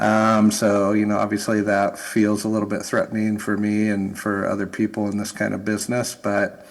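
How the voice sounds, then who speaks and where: Here a man talks in an American accent with a fairly low pitch. His intonation is monotone and flat, and there are hardly any pauses. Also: moderate pace. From United States. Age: 50s. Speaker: academic researcher. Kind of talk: panel discussion. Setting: conference stage with audience.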